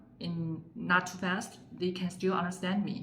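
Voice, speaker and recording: With a Chinese accent, a woman speaks at a medium pitch with fairly even intonation. Audible room echo and noticeable background noise surround her voice. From China, Sichuan province. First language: Mandarin Chinese. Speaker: Chinese language teacher. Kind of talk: tutorial. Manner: frequent fillers, hesitant.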